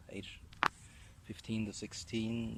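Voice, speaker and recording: Speaking in a German accent, a man holds a fairly low pitch with a monotone, flat intonation. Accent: German accent in English, generic European. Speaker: vlogger. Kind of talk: casual monologue while walking. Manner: halting with many fillers and repetitions.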